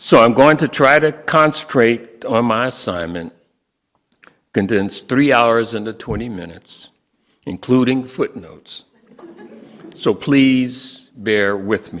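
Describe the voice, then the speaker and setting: Taking long, frequent pauses at a very slow pace, a man with an American accent and a medium pitch speaks with lively intonation. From US Midwest, Milwaukee. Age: 70s. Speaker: lawyer and guest speaker. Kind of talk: sermon-style talk. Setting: church.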